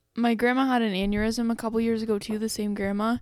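A woman with a Canadian accent speaks at a fairly high pitch with monotone, flat intonation. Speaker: podcast co-host. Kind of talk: casual chat.

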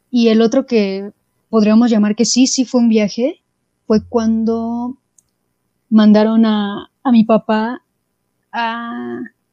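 Dry and close with no echo, the recording captures a woman with a Mexican accent. Her pitch is fairly high and her tone dark and mellow. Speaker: podcast co-host. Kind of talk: casual chat.

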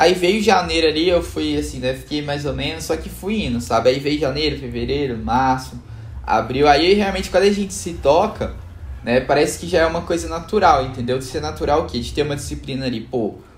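A man's medium-pitched voice at a fairly quick pace with very wide pitch swings, amid noticeable background noise and audible room echo. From Belo Horizonte, Minas Gerais, Brazil. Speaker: options trader. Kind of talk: casual interview chat.

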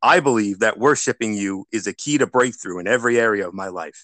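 A man with a plain, everyday voice at a medium pitch talks at a fairly quick pace, recorded dry and close with no echo against a quiet background. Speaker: radio host and lay preacher. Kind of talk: fervent prayer, earnest and devout, spoken as worship. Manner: warm, pious, sincere.

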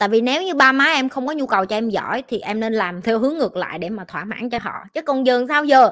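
A woman's high voice with lively intonation and an animated tone at a fairly quick pace, on a very clean recording with a silent background. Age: 20s. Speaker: life coach. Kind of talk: livestream Q&A.

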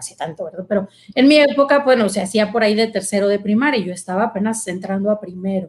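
With ordinary pitch variation, a woman's fairly high voice comes out somewhat breathy. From Mexico, Monterrey. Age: 40s. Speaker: consecrated virgin and psychologist. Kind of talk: testimony.

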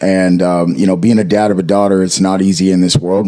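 Noticeable background noise sits behind this man. His pitch is very deep and low, and his pace is moderate. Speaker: podcast co-host. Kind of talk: casual chat.

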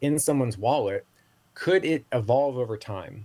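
A man's somewhat breathy voice comes through on a very clean recording with a silent background. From Southeast Asia. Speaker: marketing executive and Web3 consultant. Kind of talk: interview. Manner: fast.

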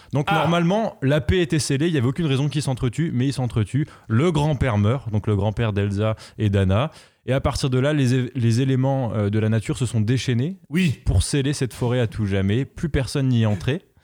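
A man at medium pitch with a dark, mellow tone speaks fairly quickly with lively intonation and very even loudness, on a very clean recording with a silent background. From France, Moselle. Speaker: podcast host. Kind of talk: casual chat.

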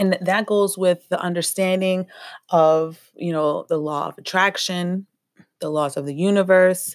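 The speaker has a normal speaking voice. The pace is fairly slow and the intonation fairly even. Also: woman, medium pitch for a woman. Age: 30s. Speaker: spiritual healing podcaster. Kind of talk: motivational monologue.

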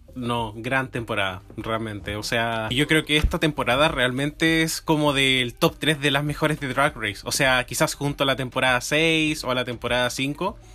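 A bright, sharp tone at a moderate pace, hardly any pauses, ordinary pitch variation, and a very clean recording with a silent background. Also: man, medium pitch for a man. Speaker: podcast co-host. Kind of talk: casual chat.

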